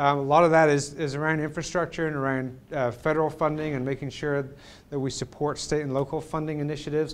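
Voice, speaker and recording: This man has a fairly high pitch. He talks at a fairly quick pace. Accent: American. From England. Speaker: cycling advocacy organization president. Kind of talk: public talk. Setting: presentation with live audience. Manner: halting, many fillers.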